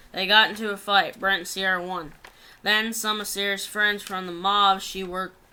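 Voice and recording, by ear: In a natural voice, the passage is read aloud.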